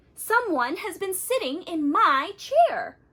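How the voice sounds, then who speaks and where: A woman's put-on character voice, growling at an extremely high pitch, at a fairly slow pace. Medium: read story.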